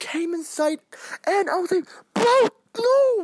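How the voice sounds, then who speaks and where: A loud man with an animated tone, in dry, close sound with no echo. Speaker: anime reaction youtuber. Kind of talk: casual review monologue.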